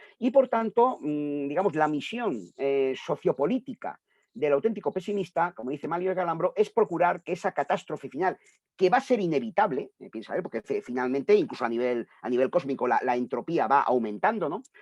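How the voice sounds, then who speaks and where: A man's high-pitched voice at a fairly quick pace, with very wide pitch swings and a dry, close sound with no echo. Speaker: translator and philosophy scholar. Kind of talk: book presentation talk. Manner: fast; halting, many fillers.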